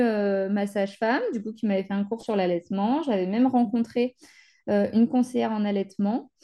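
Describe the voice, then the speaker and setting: A woman's fairly high-pitched voice with a dark, mellow tone, fairly even intonation and a moderate pace, over a quiet background. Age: 30s. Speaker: travel content creator. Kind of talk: personal testimony. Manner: halting, many fillers.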